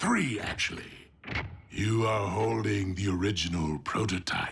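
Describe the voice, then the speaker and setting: A man puts on a cartoonish character voice at a fairly low pitch. He keeps a moderate pace. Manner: measured, silky, menacing.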